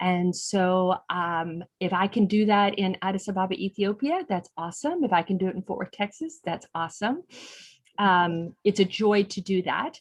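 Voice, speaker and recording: In a quiet background, a woman with an unremarkable speaking voice talks at a medium pitch. Her pace is moderate and her pitch variation ordinary. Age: 60s. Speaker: non-profit executive director. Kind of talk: online interview.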